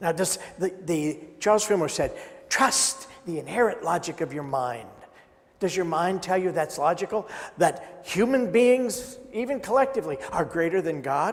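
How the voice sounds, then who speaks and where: A man speaks loudly in a high pitch, his intonation lively and his pace moderate. Noticeable background noise runs underneath. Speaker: minister. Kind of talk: sermon.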